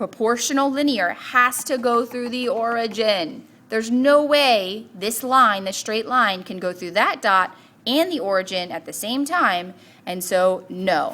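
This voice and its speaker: Speaking in an ordinary speaking voice, a woman with fairly high pitch and lively intonation goes at a fairly slow pace with big swings in loudness. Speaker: math teacher. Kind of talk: tutorial.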